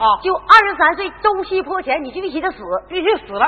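Fairly quick, animated speech over noticeable background noise. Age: 30s. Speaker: folk opera performer. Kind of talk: comic stage banter and storytelling.

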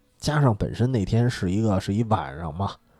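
A man's fairly low-pitched voice is heard over music in the background. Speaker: podcast host. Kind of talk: casual chat. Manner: soft-spoken.

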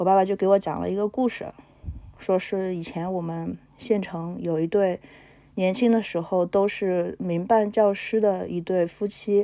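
A woman talks at a fairly slow pace in a medium pitch. Her tone is dark and mellow, and her intonation stays fairly even. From Henan, China. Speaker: entrepreneur. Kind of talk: personal testimony.

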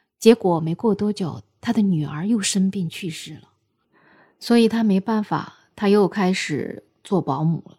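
A woman talks at a fairly slow pace in a medium, somewhat breathy voice with a dark, mellow tone. Her loudness swings widely while her pitch varies an ordinary amount, on a very clean recording with a silent background. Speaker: podcast host. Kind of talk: storytelling monologue. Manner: casual, with fillers.

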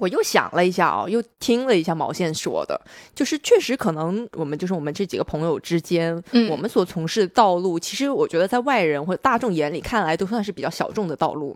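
A woman at a medium pitch talks at a very fast pace with hardly any pauses and lively intonation. The recording is very clean and dry, close with no echo, over a silent background. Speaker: podcast host. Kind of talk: casual chat.

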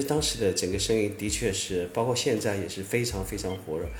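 A man's somewhat breathy voice at a moderate pace, with audible room echo. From southern Fujian (Minnan), China. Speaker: former online forum writer and entrepreneur. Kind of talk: casual interview conversation.

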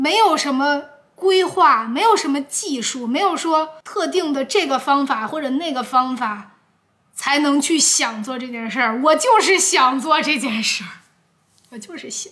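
Her very slow speech as a woman sits at a high pitch with very wide pitch swings. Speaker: YouTuber podcaster. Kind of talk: casual solo podcast answering viewer questions. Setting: recorded with a camera at home. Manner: hesitant, with many fillers. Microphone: camera audio, no microphone.

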